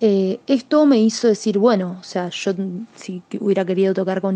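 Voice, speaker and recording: This woman has an Argentine accent and a dark, mellow tone. She speaks at a moderate pace with ordinary pitch variation. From Argentina, Chubut (Patagonia). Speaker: musician. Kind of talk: interview answers. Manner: hesitant, many fillers.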